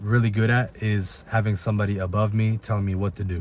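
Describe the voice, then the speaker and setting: An American-accented man talks at a fairly quick pace in a fairly low, somewhat breathy voice. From Italy, then US from age nine. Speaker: personal trainer. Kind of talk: personal story told to camera.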